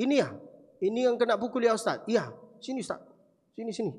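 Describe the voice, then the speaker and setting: An animated tone in an Arabic accent. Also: man. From Saudi Arabia, Mecca. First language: Arabic (speaking Indonesian). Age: 20s. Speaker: preacher. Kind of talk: sermon.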